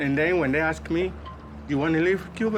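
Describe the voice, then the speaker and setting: With music playing behind him, a man speaks at an unhurried, moderate speed. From Cuba. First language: Spanish. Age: 60s. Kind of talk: interview answer.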